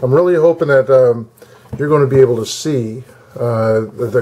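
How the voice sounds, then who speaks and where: A man talks at a moderate pace and a medium pitch. His pitch varies in an ordinary way over noticeable background noise. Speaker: coin collector. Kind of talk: tutorial. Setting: at home desk. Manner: halting; loud.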